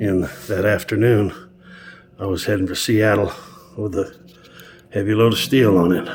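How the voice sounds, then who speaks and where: A man talks in a relaxed tone at a fairly low pitch, with ordinary pitch variation and a moderate pace. Noticeable background noise is present. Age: 70s. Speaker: truck driver and mechanic. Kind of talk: casual narration over video footage. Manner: relaxed, with fillers and hesitations.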